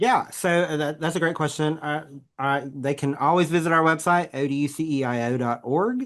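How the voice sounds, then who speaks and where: A man's fairly high voice in a Southern US accent, at a moderate pace with ordinary pitch variation, over a quiet background. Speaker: education center associate director. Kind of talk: podcast interview. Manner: halting.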